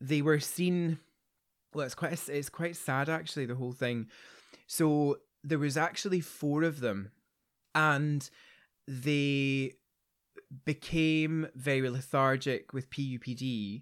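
Speaking with a Glaswegian accent, a man talks at a very slow pace with long, frequent pauses. His fairly high voice keeps fairly even intonation in a very clean recording with a silent background. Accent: Glaswegian Scottish. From Scotland, Glasgow area. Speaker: veterinary specialist, podcast host. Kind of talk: casual interview and clinical discussion.

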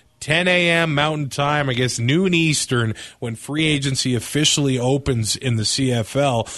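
A man with an unremarkable speaking voice, fairly high in pitch, talks at a fairly slow pace with lively intonation. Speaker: podcast host. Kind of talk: casual chat.

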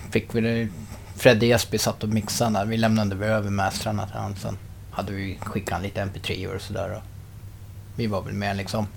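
A man talks at a fairly quick pace with vocal fry. His pitch is fairly low and his intonation flat and monotone. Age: 30s. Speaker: rock musician. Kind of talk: casual interview. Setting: in person in Enköping.

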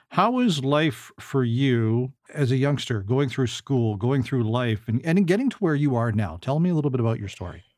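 Against a quiet background, a man with an ordinary speaking voice, medium pitch and ordinary pitch variation talks at a fairly quick pace. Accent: Canadian. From Canada. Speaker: podcast host. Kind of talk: casual interview.

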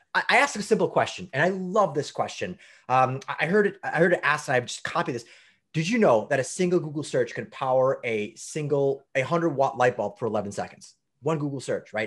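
On a very clean recording with a silent background, a man with a fairly high pitch speaks in an animated tone. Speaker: data center executive. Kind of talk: interview.

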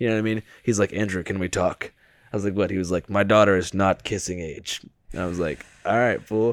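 An ordinary speaking voice moves at a fairly quick pace. Its intonation stays fairly even. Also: man, fairly low pitch for a man. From US Pacific Northwest. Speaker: podcaster. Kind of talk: casual chat.

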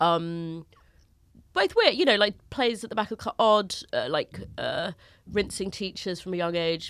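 On a very clean recording with a silent background, a woman with a London accent talks at a fairly slow pace, medium in pitch and lively in intonation. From North London, England. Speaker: comedian. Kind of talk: casual chat. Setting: studio.

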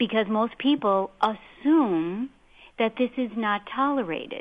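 Speaking in an unremarkable speaking voice, a woman keeps a fairly high pitch, a fairly slow pace and ordinary pitch variation. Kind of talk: talk radio discussion.

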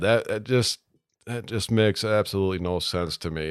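His voice sits fairly low in pitch. This man has an American accent. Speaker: golf course superintendent. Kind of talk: casual interview. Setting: studio.

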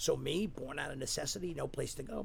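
Audible room echo surrounds a man with an American accent whose pitch varies in an ordinary way. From Staten Island, New York. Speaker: recovery center executive, recovering alcoholic. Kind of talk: interview, personal testimony.

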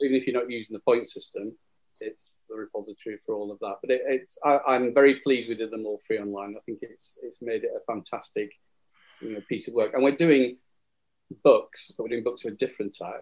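A man talks at a very fast pace with a Lancashire accent. His loudness swings widely. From northern England, Burnley, Lancashire. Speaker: wargames rules writer. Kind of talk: casual chat. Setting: phone call.

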